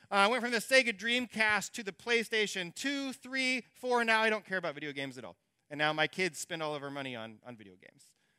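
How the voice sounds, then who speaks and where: In a dry, close recording with no echo, a man with a high pitch and a bright, sharp tone speaks in a raised, projected voice at a very fast pace, with very wide pitch swings and big swings in loudness. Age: 40s. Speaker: pastor. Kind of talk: sermon.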